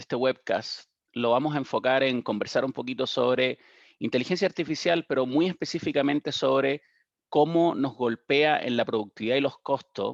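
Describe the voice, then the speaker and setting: In a Chilean accent, a man with a fairly high pitch speaks at a moderate pace with ordinary pitch variation, the sound dry and close with no echo over a quiet background. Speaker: digital strategy consultant. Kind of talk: webinar panel presentation. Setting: webcast. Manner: halting, frequent repetitions.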